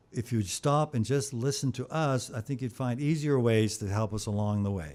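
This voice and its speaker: A man talks at a fairly quick pace with lively intonation. The recording is very clean, with a silent background. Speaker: musician and brain injury survivor. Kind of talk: radio interview.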